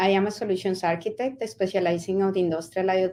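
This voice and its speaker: Speaking fairly quickly with a Colombian accent, a woman has a dark, mellow tone at a medium pitch. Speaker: network solutions architect. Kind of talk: panel discussion. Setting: online conference session.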